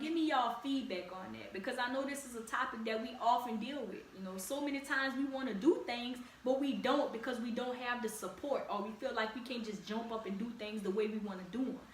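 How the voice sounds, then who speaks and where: A woman with a high-pitched voice talks at a fairly quick pace in an animated tone, with ordinary pitch variation and hardly any pauses. Audible room echo and noticeable background noise fill the recording. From Louisiana, New Orleans area. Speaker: podcast host. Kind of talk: casual podcast monologue. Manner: animated, conversational.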